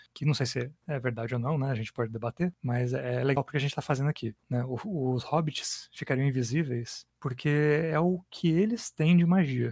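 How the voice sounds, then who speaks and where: A soft-spoken, somewhat breathy man talks at a moderate pace with hardly any pauses. His pitch shows ordinary variation. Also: fairly high pitch for a man, dry, close sound with no echo. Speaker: podcast host and game master. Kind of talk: casual chat while designing an RPG adventure. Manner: soft-spoken, hard to hear.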